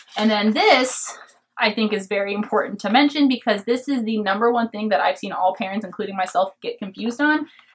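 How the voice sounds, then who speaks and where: A woman has an unremarkable speaking voice, fairly high in pitch. She talks at a fairly quick pace with ordinary pitch variation. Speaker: homeschooling parent. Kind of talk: curriculum review talk to camera. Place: home room.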